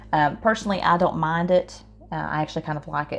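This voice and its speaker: A woman speaks with an Appalachian accent and lively intonation. Music plays in the background. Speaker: home cook. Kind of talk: casual cooking demonstration.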